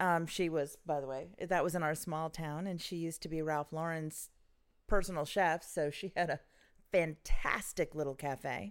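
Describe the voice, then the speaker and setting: This woman has a plain, everyday voice, pitched fairly low. She talks at a moderate pace with fairly even intonation. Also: very clean recording, silent background. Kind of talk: casual chat.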